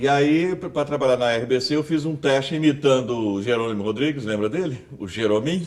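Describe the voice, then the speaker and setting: Talking at a fairly quick pace with hardly any pauses, the man has an ordinary speaking voice at medium pitch with ordinary pitch variation. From Brazil, Goiás (Rubiataba). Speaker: journalist and announcer. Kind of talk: interview.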